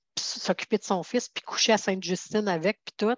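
Speaking in a Quebec accent, a woman moves at a fairly quick pace with fairly even intonation. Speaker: financial security advisor. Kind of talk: interview.

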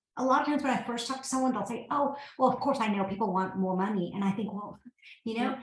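A woman's high-pitched voice in an American accent, very fast, with ordinary pitch variation and audible room echo. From US South, Georgia. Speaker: tech company founder and CEO. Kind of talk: interview.

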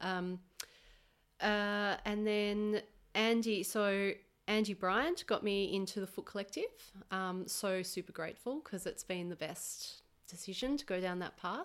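In an Australian accent, a woman speaks at medium pitch, fairly slowly and with fairly even intonation, on a very clean recording with a silent background. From Australia, Melbourne. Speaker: massage therapist. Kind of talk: casual interview. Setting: her home.

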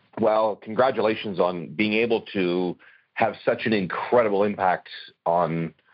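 In a plain, everyday voice, a man talks at a moderate pace with fairly low pitch and ordinary pitch variation. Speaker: radio host.

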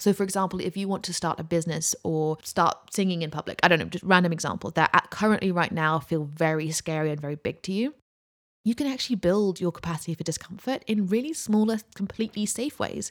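Very fast and fairly low-pitched, a woman with a British accent speaks with ordinary pitch variation on a very clean recording with a silent background and a dry, close sound with no echo. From UK. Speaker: podcast host and mindset coach. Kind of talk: solo motivational talk.

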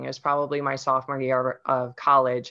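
Speaking with a Midwestern US accent, a woman has a very deep, low pitch. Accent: General American, Midwestern. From US Midwest, Ohio. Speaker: nutrition and fitness coach. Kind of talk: casual interview chat. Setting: video call.

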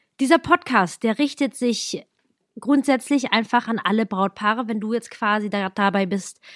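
A woman with a fairly high pitch talks at a moderate pace. The recording is very clean, dry and close, with a silent background and no echo. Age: 30s. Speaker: wedding planner. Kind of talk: solo podcast monologue.

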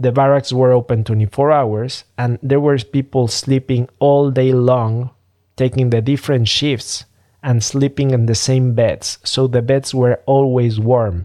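A man's dark, mellow voice in a Spanish accent, medium in pitch, fairly slow, with fairly even intonation, very even loudness and a dry, close sound with no echo. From Mexico City, Mexico. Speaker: business strategist podcast host. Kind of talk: solo podcast monologue.

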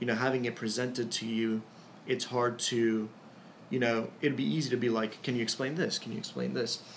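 In a normal speaking voice, a man with an American accent talks at a fairly quick pace, with medium pitch and fairly even intonation. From Ecuador, raised in the US from childhood. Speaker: student government president. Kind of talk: interview. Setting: in person.

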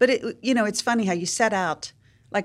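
Using an ordinary speaking voice, a woman talks at a fairly quick pace with ordinary pitch variation. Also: very clean recording, silent background. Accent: American. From West Virginia, US. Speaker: nonprofit leader and entrepreneur. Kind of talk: interview.

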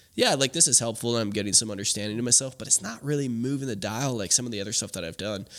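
Someone with a Canadian accent speaks at a very fast pace with ordinary pitch variation. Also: man. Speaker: podcast host, men's coach. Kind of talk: casual chat.

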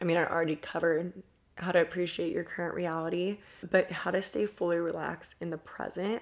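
Speaking at a fairly quick pace, a woman with a fairly low pitch and vocal fry is heard on a very clean recording with a silent background. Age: 20s. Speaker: podcast host, spiritual influencer. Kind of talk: casual solo monologue, Q&A. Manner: chatty, laughs often.

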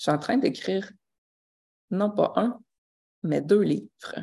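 A woman speaks in a Quebec accent. Her pace is very slow. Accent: Québécois French. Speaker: life coach and podcaster. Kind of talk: casual live monologue. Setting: live stream.

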